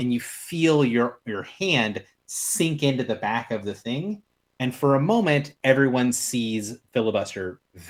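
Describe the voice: Over a hushed backdrop, the text gets plain reading aloud.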